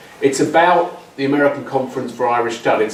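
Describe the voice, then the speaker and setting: Speaking at a fairly quick pace with an English accent, a man is heard over noticeable background noise and audible room echo. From England. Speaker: academic, social anthropologist. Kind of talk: conference talk. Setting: symposium with audience. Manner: halting, many fillers and repetitions.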